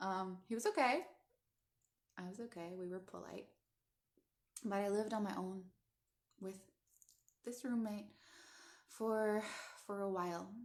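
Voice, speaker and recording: With a Canadian accent, a woman talks at a moderate pace and medium pitch, her intonation fairly even. Long, frequent pauses break up her speech, and the room adds an audible echo. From Netherlands, immigrated to Canada as a child. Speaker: coach and teacher. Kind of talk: personal storytelling livestream.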